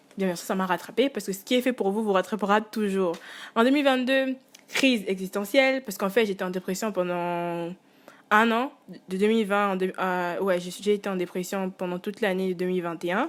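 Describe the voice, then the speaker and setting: On a very clean recording with a silent background, a woman of medium pitch speaks at a fairly quick pace with ordinary pitch variation. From Congo. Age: 20s. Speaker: student and musician, vlogger. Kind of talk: casual monologue vlog. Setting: alone at home. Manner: hesitant, many fillers.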